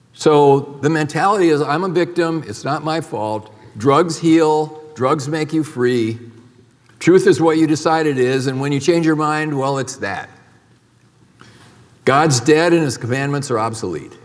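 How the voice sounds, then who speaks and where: In a room with audible echo, a man with a fairly high pitch speaks at a fairly slow pace. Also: ordinary pitch variation. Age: 70s. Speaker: medical doctor. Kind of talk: conference talk.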